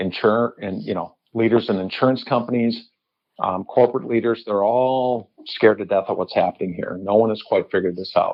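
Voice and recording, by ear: A man with an American accent speaks at a fairly low pitch with ordinary pitch variation. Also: moderate pace.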